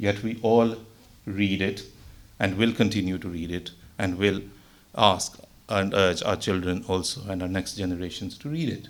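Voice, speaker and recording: A man with a Pakistani accent speaks at a moderate pace in a fairly low pitch, with audible room echo. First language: Urdu. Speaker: religious speaker. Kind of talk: religious talk. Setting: mosque gathering.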